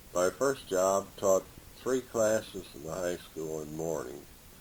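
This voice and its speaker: At a fairly slow pace, a man speaks with a Midwestern American accent. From Indiana. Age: 70s. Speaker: retired teacher and coach. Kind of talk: oral history interview.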